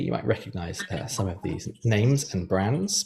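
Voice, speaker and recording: This man talks at a fairly quick clip in a British accent. His delivery is lively in intonation and somewhat breathy. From United Kingdom. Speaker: journalism professor. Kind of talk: lecture. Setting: video call. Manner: hesitant, many fillers.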